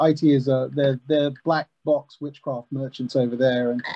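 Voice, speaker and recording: A man speaks in a fairly high pitch with a monotone, flat intonation. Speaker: customer success manager; panelist. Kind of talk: panel discussion. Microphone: video call.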